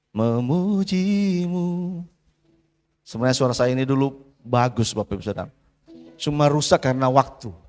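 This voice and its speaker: This man has a medium pitch and lively intonation, talking at a moderate pace. He takes long, frequent pauses while music plays behind him. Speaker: pastor. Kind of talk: sermon.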